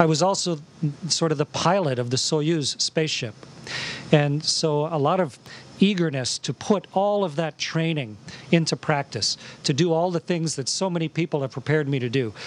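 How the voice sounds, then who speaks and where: With ordinary pitch variation and a moderate pace, a man's voice comes through in a dry sound with no echo. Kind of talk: interview answer. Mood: warm, enthusiastic. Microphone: handheld.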